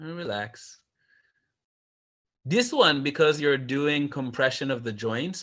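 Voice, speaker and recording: A man with a medium pitch talks with lively intonation. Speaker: yoga teacher. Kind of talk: yoga class instruction. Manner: fast.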